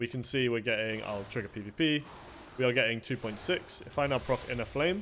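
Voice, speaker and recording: Ordinary pitch variation in a male voice of medium pitch. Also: fairly quick pace. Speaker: video game guide creator. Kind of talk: tutorial. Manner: fast; casual, frequent fillers.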